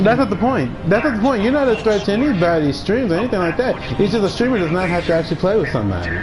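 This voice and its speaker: Talking at a very fast pace with hardly any pauses, a man uses a high pitch, lively intonation and very even loudness, with audible room echo and noticeable background noise. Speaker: gaming streamer. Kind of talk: live stream chat. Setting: live stream. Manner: intense-sounding.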